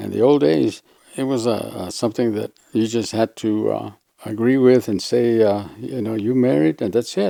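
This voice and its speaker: In a dark, mellow tone, a man with an American accent speaks at medium pitch and a moderate pace with ordinary pitch variation. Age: 80s. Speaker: retired farmer. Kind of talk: interview answer.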